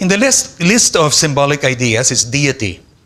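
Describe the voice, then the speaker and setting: Lively intonation marks this man's bright, sharp tone. He speaks with a Filipino accent. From Philippines. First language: Tagalog. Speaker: philosophy professor. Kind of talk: lecture. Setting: conference hall with audience. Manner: formal.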